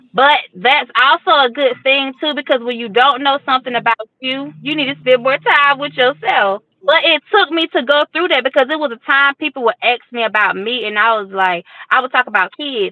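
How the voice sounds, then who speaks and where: A woman with a Georgia accent speaks in a high voice and an animated tone. Her pitch varies in an ordinary way, and she leaves hardly any pauses. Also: moderate pace. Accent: Southern US (Georgia), country. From US South, Fort Valley, Georgia. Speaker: guest, single mother. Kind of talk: casual chat. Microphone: lag on connection.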